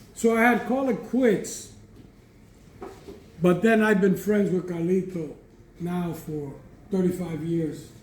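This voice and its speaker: Speaking at a fairly slow pace with long, frequent pauses, a man with a high voice and ordinary pitch variation is heard amid audible room echo. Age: 70s. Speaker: cigar industry veteran, master blender. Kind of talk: storytelling talk at a live event. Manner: animated.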